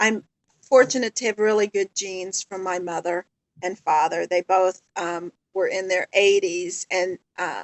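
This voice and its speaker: This is a woman with a medium-pitched voice. She talks fairly slowly with ordinary pitch variation. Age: 60s. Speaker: stroke survivor. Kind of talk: testimony. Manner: hesitant, many fillers.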